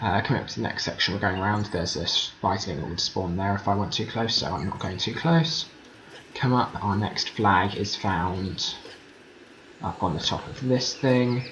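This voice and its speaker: A fairly low-pitched man with ordinary pitch variation, over noticeable background noise. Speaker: gaming video creator. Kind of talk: gameplay commentary. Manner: fast; hesitant with many fillers.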